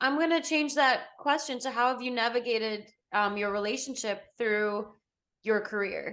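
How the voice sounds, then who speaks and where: A woman with an American accent talks at a moderate pace, her high pitch showing ordinary variation. The background is quiet. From Botswana and England. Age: 30s. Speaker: podcast co-host. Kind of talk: casual chat.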